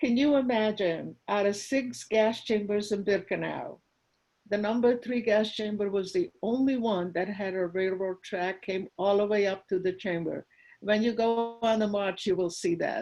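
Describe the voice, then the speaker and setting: A woman speaks at a medium pitch with a Hungarian accent. The background is quiet. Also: ordinary pitch variation, moderate pace. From Hungary. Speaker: Holocaust survivor. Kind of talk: testimony.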